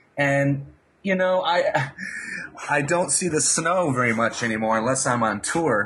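A man speaks with lively intonation at a fairly high pitch and very even loudness. Noticeable background noise runs under his voice. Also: fairly slow pace. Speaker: guitar teacher. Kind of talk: interview.

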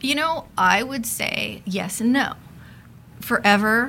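A woman with a Californian accent talks with vocal fry. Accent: Californian American. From Los Angeles. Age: 30s. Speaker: sociologist. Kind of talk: casual interview.

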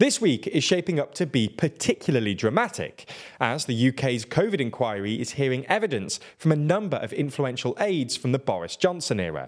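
With very wide pitch swings, a man with a fairly high pitch talks at a fairly quick pace, hardly pausing at all. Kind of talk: news reading. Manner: formal, even-paced, neutral newsreader delivery.

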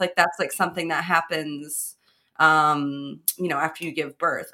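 A woman's bright, sharp tone with an American accent. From Chicago, North Side. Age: 30s. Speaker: stand-up comedian and podcaster. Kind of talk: casual chat.

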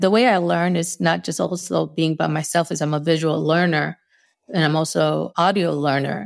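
The background is silent and the recording very clean. A woman talks at a moderate pace. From US Northeast. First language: Spanish. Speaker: UX designer. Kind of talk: interview conversation. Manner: takes long pauses; laughs often.

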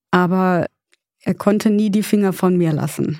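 A woman at a medium pitch speaks at a very slow pace in a dark, mellow tone with fairly even intonation, in a very clean recording with a silent background. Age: 30s. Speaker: grieving guest. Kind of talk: personal testimony in therapy talk.

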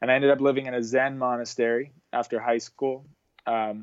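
This man talks at a medium pitch with a flat, monotone delivery. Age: 30s. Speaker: author and surfer. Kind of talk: interview.

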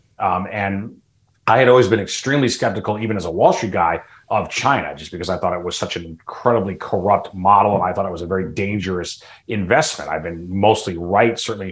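A man with an American accent in a normal speaking voice, fairly low in pitch, fairly quick, with ordinary pitch variation. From US Midwest, Chicago suburbs. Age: 50s. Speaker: political commentator. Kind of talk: interview discussion.

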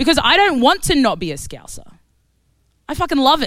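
With an Australian accent, a woman speaks at a moderate pace in an animated tone. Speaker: activist. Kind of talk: panel debate.

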